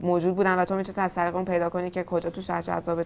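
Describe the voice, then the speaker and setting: Very fast speech comes from a woman at a medium pitch. Music plays in the background. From Tehran, Iran. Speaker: startup founder. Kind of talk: interview.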